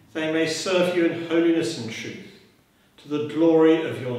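A man talks at a moderate pace amid strong room echo. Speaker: priest leading a service. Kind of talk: liturgical prayer. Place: church. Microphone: camera far.

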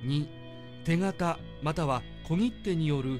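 A man's voice with music in the background. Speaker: announcer narrator. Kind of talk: legal text reading, statute narration. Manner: clear, even-paced, deliberate.

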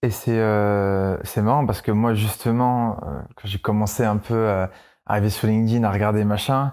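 A man with a plain, everyday voice speaks at a moderate pace in a fairly low pitch, his intonation fairly even, on a very clean recording with a silent background. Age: 20s. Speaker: entrepreneur. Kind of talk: casual chat. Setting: studio.

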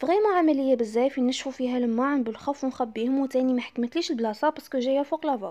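With an Algerian accent, a woman speaks at a very fast pace with hardly any pauses, a dark, mellow tone, a high pitch, ordinary pitch variation, and very even loudness. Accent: Algerian Arabic with French loanwords. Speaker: home vlogger. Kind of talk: casual talk to camera, home tour. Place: kitchen. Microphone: phone near.

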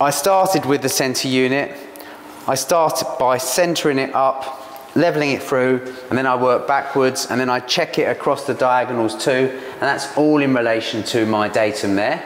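Audible room echo surrounds a man talking at a moderate pace with fairly even intonation. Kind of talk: tutorial. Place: kitchen.

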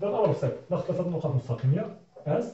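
Over a quiet background, a man with a high voice talks very fast with lively intonation, and the room echo is audible. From Morocco. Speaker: physics teacher. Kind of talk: tutorial. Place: classroom. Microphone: camera far.

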